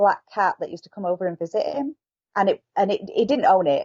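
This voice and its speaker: A woman with a Yorkshire accent at a fairly quick pace. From northern England, Yorkshire. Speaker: author. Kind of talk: interview.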